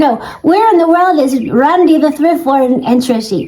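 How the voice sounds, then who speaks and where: A woman with a squeaky voice and lively intonation talks at a moderate pace, with audible room echo and noticeable background noise. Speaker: thrifting vlogger. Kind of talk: casual vlog talk to camera. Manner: animated.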